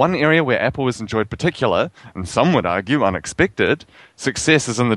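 Over a quiet background, a man with a New Zealand accent talks at a fairly quick pace. His medium pitch rises and falls with lively intonation. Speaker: podcast co-host.

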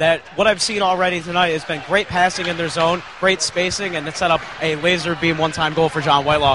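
Monotone, flat delivery at a fairly quick pace with hardly any pauses over noticeable background noise. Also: man, high pitch for a man. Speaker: rinkside reporter. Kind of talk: sports analysis report. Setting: ice level behind the glass. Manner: halting, filler-heavy.

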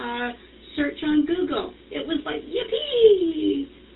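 A woman talks very slowly while noticeable background noise is heard. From Canada. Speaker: participant, small business owner. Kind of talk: casual group chat.

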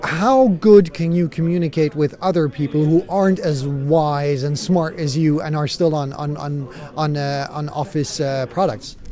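This man talks at a moderate pace with hardly any pauses, his pitch fairly high with ordinary variation, over noticeable background noise. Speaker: interviewer at conference. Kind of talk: interview.

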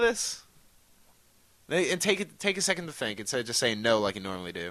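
Against a quiet background, a man talks very fast in a bright, sharp tone. His pitch swings very widely. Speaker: podcast host. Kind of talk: casual chat. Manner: profane, jokey.

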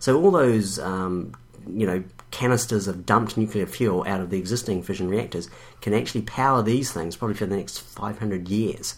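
A man with a New Zealand accent speaks at a moderate pace, his fairly low pitch showing ordinary variation. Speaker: podcast co-host. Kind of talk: casual chat.

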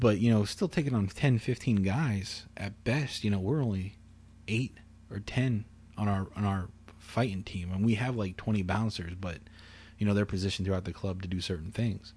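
In a quiet setting, a man speaks in a fairly low, somewhat breathy voice. His pace is moderate and his pitch varies in an ordinary way. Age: 20s. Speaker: podcast host. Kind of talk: casual chat. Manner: calm.

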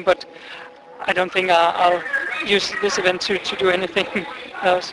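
This man speaks with a Danish accent. There is noticeable background noise. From Denmark. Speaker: exchange student. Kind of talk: street interview. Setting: outdoors.

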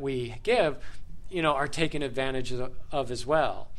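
At a moderate pace, a normal speaking voice with an American accent carries ordinary pitch variation. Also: man. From USA. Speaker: podcast host, English teacher. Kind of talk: group discussion moderation for English learners. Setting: studio with group sharing microphones.

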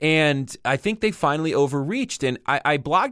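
A man with a normal speaking voice talks at a moderate pace, his pitch fairly high and his intonation lively. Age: 40s. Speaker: podcast host. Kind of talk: casual chat. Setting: remote call with co-host.

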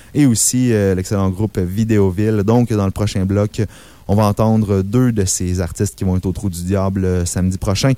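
A man's dark, mellow voice at a moderate pace with fairly even intonation. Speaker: radio host. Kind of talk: radio show hosting. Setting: radio studio. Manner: hesitant, many fillers.

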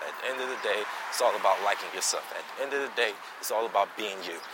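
Noticeable background noise sits behind the voice. A man talks at a very fast pace. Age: 20s. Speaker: podcast host. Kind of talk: casual monologue. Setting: outdoors, walking.

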